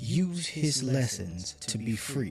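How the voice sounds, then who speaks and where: A put-on character voice comes through with faint music in the background. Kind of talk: read-aloud picture book. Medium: read story. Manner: gentle, steady, reassuring.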